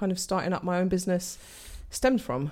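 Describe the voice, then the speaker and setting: In a very clean recording with a silent background, a woman with a London accent speaks at a medium pitch with ordinary pitch variation. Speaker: entrepreneur. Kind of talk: casual interview.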